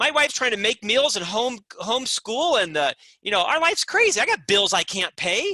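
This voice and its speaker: Raising and projecting his voice, a man talks at a moderate pace in an extremely high pitch with very wide pitch swings, his tone bright, sharp and animated, the sound dry and close with no echo. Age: 50s. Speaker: business author and executive. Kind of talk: podcast interview.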